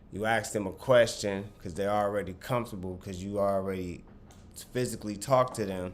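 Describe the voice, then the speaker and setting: With audible room echo, a man speaks in a fairly low pitch. His pace is moderate and his pitch variation ordinary. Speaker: clothing brand owner and vlogger. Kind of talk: casual talk to camera, sales advice.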